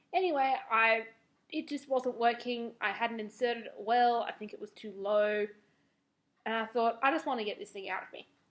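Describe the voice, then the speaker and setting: Her voice sits fairly high, and the woman keeps a moderate pace with ordinary pitch variation but big swings in loudness. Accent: Australian. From Australia. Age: 20s. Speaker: beauty and lifestyle vlogger. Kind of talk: casual vlog review. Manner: animated.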